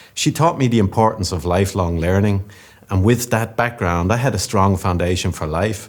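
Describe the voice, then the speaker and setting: This man has a Dublin accent and a fairly low pitch, speaking at a fairly quick pace with ordinary pitch variation. The recording is very clean, with a silent background. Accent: Irish (Dublin). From Ireland, Dublin. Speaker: business executive. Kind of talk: conference keynote speech. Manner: formal.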